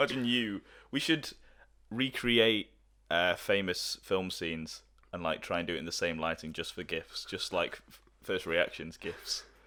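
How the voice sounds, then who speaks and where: With an English accent and a bright, sharp tone, this voice moves at a moderate pace with lively intonation and big swings in loudness, recorded very cleanly over a silent background. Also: man, very deep, low pitch for a man. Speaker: podcast co-host. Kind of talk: casual chat.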